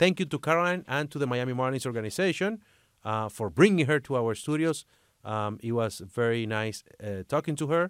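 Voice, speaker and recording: A man with a Spanish accent at a fairly quick pace, lively intonation, dry and close sound with no echo, very clean recording and silent background. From Dominican Republic. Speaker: sports podcast host. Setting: studio. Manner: halting in English.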